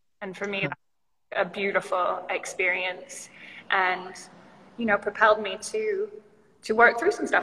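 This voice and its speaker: Intonation stays fairly even. It is a normal speaking voice. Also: woman, medium pitch for a woman. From Canada, British Columbia. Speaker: yoga studio founder. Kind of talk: casual interview chat. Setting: video call livestream.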